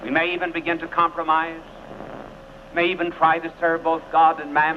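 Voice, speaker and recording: A man's high, monotone voice with flat intonation, amid noticeable background noise. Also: fairly quick pace. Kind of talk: televised sermon.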